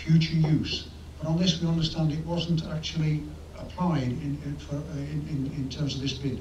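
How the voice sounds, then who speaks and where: Over light background noise and audible room echo, a man talks at a moderate pace in a monotone, flat intonation. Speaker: member of public addressing council. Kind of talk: prepared public statement. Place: meeting room. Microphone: podium.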